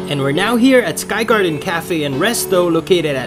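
Speech at a moderate pace with clear music in the background. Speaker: vlogger. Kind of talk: casual vlog chat. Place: car. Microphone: phone near.

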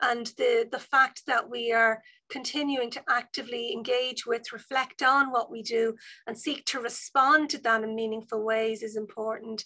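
The background is quiet as a woman speaks in a Dublin accent. Her tone is bright and sharp. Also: moderate pace. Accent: Dublin Irish. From Ireland, Dublin North Inner City; Ireland. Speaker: university vice provost and professor. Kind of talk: online seminar talk. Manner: animated. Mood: warm, friendly. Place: office. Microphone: video call.

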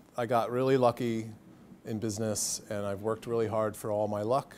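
Light background noise sits under a man with an American accent. He talks at a moderate pace and a medium pitch. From Pennsylvania, US (Coopersburg). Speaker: marketing agency executive. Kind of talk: lecture. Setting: stage with audience. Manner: animated. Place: classroom.

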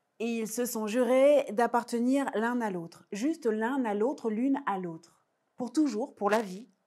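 Soft-spoken and dark, mellow in tone, the voice moves at a fairly slow pace with ordinary pitch variation over a quiet background. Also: woman. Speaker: storyteller. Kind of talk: oral folk tale telling for young children, myth-like origin story. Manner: rhythmic, incantatory repetitions with deliberate hesitations ("il a dit, il a dit"); intimate, suspenseful delivery, softly building tension. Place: stage. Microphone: lapel.

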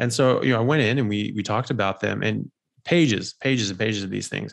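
The speech runs at a very fast pace against a quiet background. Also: man. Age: 40s. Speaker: doctor and health podcast host; health podcast host. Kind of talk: interview. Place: home room. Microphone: studio mic.

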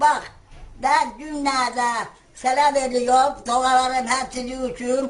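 Very slowly and in a high voice, a woman speaks with monotone, flat intonation. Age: 80s+. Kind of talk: casual talk, addressing prime minister.

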